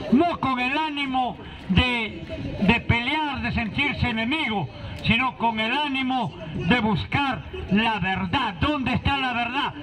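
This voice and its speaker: Over crowd noise in the background, a man with an extremely high pitch talks at a very slow pace with ordinary pitch variation. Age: 60s. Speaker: political activist. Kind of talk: public speech.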